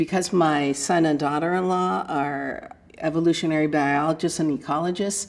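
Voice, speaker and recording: A woman talks at a moderate pace. Her very deep, low voice has ordinary pitch variation. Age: 60s. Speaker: retired psychologist and textile artist. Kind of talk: reflective first-person life story, an older woman musing warmly on aging and her art. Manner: musing and searching, with many 'I mean', 'you know' and 'um' fillers and restarts; good-humored, breaks into light self-deprecating laughter. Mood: calm, reflective. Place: studio.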